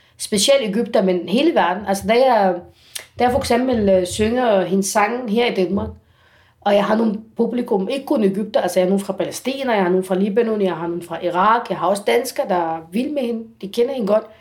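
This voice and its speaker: A woman with an Arabic accent talks at a fairly quick pace. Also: medium pitch for a woman, ordinary pitch variation. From Egypt. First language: Arabic (speaking Danish). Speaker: singer. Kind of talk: interview. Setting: at home. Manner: halting.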